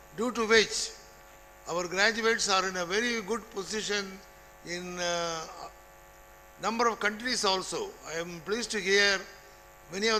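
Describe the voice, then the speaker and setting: A man's raised, projected voice, high in pitch, with a bright, sharp tone, fairly even intonation, a moderate pace and long, frequent pauses. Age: 80s+. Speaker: retired college principal. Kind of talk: ceremonial speech.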